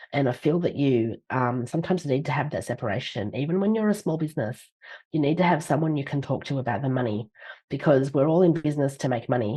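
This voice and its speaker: A woman with an Australian accent, very deep and low in pitch, with lively intonation and a very fast pace. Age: 50s. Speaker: leadership author and speaker. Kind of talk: podcast interview.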